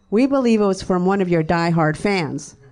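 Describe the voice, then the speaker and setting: Lively intonation marks a woman's medium-pitched voice. It is a normal speaking voice. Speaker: fan, mother. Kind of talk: heated argument, reading texts aloud. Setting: stage with audience.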